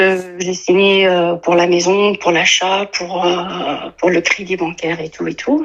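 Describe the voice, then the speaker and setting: Her voice sits at medium pitch as the woman speaks with fairly even intonation. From Tunisia. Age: 30s. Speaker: caller. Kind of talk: testimony. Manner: halting, many hesitations.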